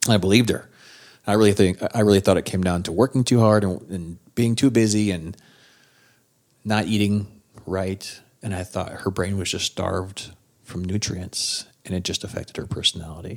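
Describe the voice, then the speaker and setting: Speaking with an Upper Midwest accent, a man with a fairly low pitch keeps a moderate pace and fairly even intonation in a very clean recording with a silent background. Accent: Upper Midwest American. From South Dakota. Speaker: spouse sharing recovery story. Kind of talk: testimony.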